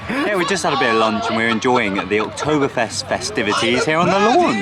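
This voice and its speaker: Over noticeable background noise, a man speaks fairly quickly with very wide pitch swings. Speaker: theme park vlogger. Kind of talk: vlog narration. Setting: outdoors at theme park. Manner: quiet.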